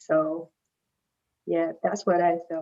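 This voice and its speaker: A woman is speaking. She has a non-native accent. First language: not English. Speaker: PhD student, competition finalist. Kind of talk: panel discussion.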